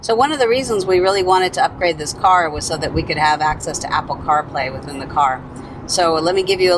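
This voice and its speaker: Over noticeable background noise, a woman talks very fast at a fairly low pitch, the sound dry with no echo. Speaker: car owner demonstrating features. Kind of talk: tutorial. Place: car.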